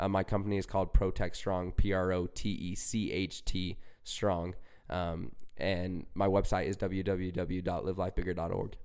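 With a Utah accent, a man with a very deep, low pitch speaks at a moderate pace in flat, monotone intonation. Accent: American (Utah). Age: young. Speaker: recovery speaker and young entrepreneur. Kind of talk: casual interview.

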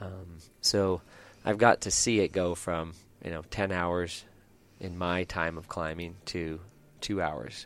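A man speaks in a very deep, low voice at a very slow pace, with long, frequent pauses. His intonation stays fairly even on a very clean recording with a silent background. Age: 50s. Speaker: rock climber. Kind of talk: casual interview. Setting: climbing gym.

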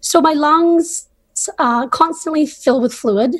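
This woman speaks with a Canadian accent and lively intonation. Her pace is very slow. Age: 30s. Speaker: patient advocate. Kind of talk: interview.

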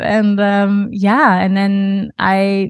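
Against a quiet background, a woman with a German accent is heard in a dry, close sound with no echo. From Germany. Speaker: yoga teacher and studio owner. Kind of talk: casual interview.

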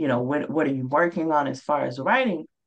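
In a Mississippi accent, a woman speaks with a very deep, low pitch and ordinary pitch variation. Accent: Southern US (Mississippi). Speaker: author. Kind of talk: interview.

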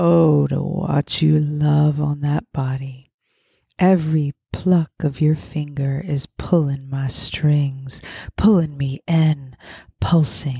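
A woman speaks very slowly with a very deep, low pitch, a dark, mellow tone, somewhat breathy, with ordinary pitch variation, in a dry, close sound with no echo. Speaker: podcast host and poet. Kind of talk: spoken word poem reading, sensual and intimate. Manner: expressive, slow and sultry delivery with building intensity; playful, emotive.

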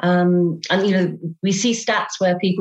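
A woman speaks with a British accent. Her voice sits at a medium pitch. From England. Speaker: business co-founder and consultant. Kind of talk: casual interview.

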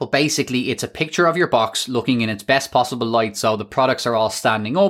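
A man with an Irish accent talks at a very fast pace in an animated tone, using lively intonation at a medium pitch. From Ireland. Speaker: podcast host and e-commerce business coach. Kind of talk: solo podcast tutorial. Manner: fast talker.

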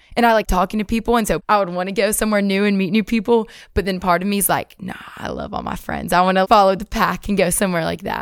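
A woman of medium pitch speaks at a very fast pace in a Southern US accent, her intonation monotone and flat. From Alabama, US South. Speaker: university student, pageant winner. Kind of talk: casual interview.

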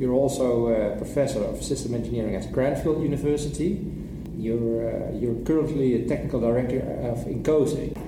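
With a Dutch accent, a man talks at medium pitch and a moderate pace, his intonation fairly even, over noticeable background noise and audible room echo. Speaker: podcast host. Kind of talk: interview.

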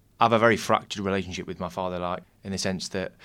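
Over a silent background in a very clean recording, a man speaks with a very deep, low pitch. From Nottingham, England. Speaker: amateur actor. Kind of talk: interview.

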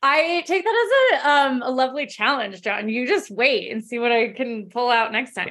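A high-pitched woman with an American accent and lively intonation at a moderate pace, hardly any pauses, and noticeable background noise. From Colorado, US. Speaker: professional runner. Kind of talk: interview.

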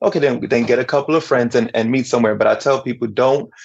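Speaking with a New York accent, this man's voice sits at a medium pitch. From Brooklyn, New York, Dominican parents. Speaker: DJ and minister. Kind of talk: interview.

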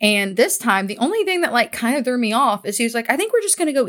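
On a very clean recording with a silent background, a woman speaks at a very fast pace in an animated tone with lively intonation. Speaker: podcast co-host. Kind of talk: casual chat. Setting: recording at home.

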